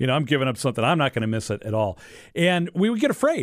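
A man is speaking. His pitch swings very widely. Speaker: radio host. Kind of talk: radio show hosting with prayers. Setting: studio.

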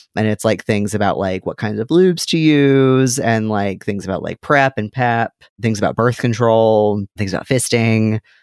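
Recorded dry and close with no echo, a man speaks at a moderate pace and medium pitch. The recording is very clean with a silent background, and his pitch variation is ordinary. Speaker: podcast co-host. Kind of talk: casual chat. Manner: animated.

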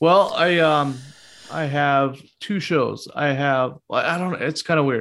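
A man with an ordinary speaking voice talks at a fairly slow pace, fairly high in pitch, with fairly even intonation. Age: 40s. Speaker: podcaster. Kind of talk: casual chat.

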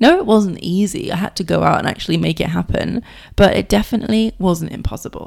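A woman talks at a very fast pace in a British accent. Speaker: podcast host, success coach. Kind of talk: casual monologue.

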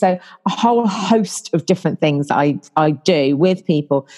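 Fairly low in pitch with ordinary pitch variation, a woman speaks in a southern English accent. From southern England, about an hour north of London. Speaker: business coach. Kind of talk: casual interview.

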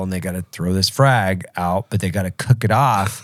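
On a very clean recording with a silent background and a dry, close sound with no echo, a man with an unremarkable speaking voice and a fairly low pitch talks at a moderate pace. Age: 40s. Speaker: podcast host. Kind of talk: casual chat.

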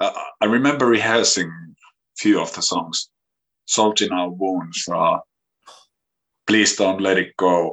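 Speaking in a Finnish accent, a man talks at a fairly slow pace with long, frequent pauses, a fairly low pitch and ordinary pitch variation. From Finland. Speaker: musician and youth worker. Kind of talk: interview. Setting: video call.

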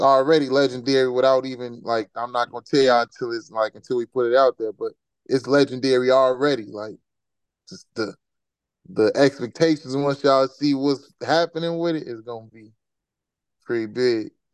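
A man's medium-pitched voice at a moderate pace, with fairly even intonation and a dry, close sound with no echo. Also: big swings in loudness. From Chicago, Roseland. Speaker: rapper. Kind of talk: casual interview.

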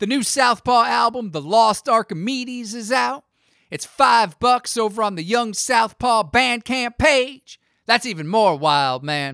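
A raised, projected voice with a bright, sharp tone and lively intonation moves at a fairly slow pace. The recording is very clean, with a silent background and a dry, close sound with no echo. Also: man, high pitch for a man. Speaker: podcast host. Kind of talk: casual chat; scripted narration. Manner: animated.

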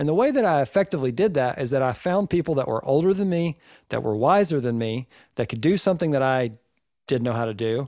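Speaking very fast in a Southern US accent, a man with a fairly high pitch, dark, mellow tone and lively intonation comes through on a very clean recording with a silent background. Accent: Southern US (Georgia). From Northeast Georgia, US South. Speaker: recording engineer and podcast co-host. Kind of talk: casual chat.

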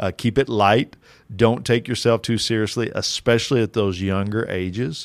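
Here is an ordinary speaking voice from a man with an American accent. His pitch is fairly low and his intonation fairly even. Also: moderate pace, very clean recording, silent background. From rural Kentucky, US. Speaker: doctoral student and fatherhood teacher. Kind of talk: casual interview.

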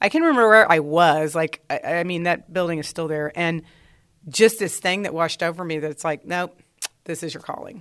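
A woman with an American accent and a plain, everyday voice speaks at a fairly low pitch with fairly even intonation and big swings in loudness. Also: fairly quick pace. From Texas, Dallas. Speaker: English teacher. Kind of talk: interview.

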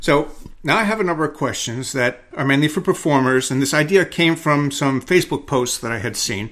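A man speaks in an ordinary speaking voice at a fairly quick pace, his pitch fairly high with ordinary variation, on a very clean recording with a silent background. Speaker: podcast host. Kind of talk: casual interview.

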